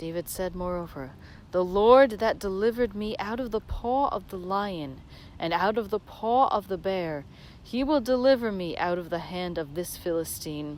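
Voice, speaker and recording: A woman speaks in a plain, everyday voice at medium pitch. Her pace is moderate and her intonation is lively. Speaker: reader of scripture. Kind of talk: dramatic scripture reading. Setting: outdoors, while walking. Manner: meditative, measured.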